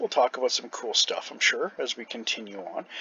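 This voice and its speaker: A man talking at a moderate pace. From Canada. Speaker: gamer and after-school care worker. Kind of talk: gameplay commentary. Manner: casual with many fillers.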